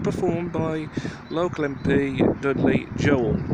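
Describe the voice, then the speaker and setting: A man on a dry, echo-free recording under loud background noise. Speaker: local history vlogger. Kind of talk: casual history commentary. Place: street. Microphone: phone near.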